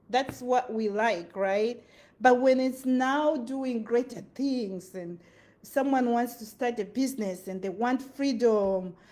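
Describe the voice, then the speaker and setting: With a Zimbabwean accent, a woman speaks in an animated tone at a fairly slow pace, her high pitch showing ordinary variation. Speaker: motivational vlogger. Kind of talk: motivational talk.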